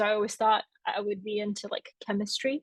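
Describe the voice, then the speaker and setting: A woman speaks with a Bulgarian accent at a moderate pace, her pitch fairly high. The sound is dry and close with no echo, over a quiet background. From Bulgaria, moved to Atlanta, Georgia at eight. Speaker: author and newsletter founder. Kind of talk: live interview on stage.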